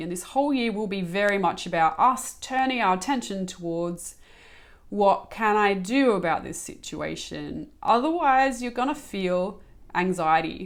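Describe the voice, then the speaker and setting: Speaking at a moderate pace with lively intonation, a woman talks in an Australian accent. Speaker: spiritual channel and coach. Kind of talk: spiritual guidance talk.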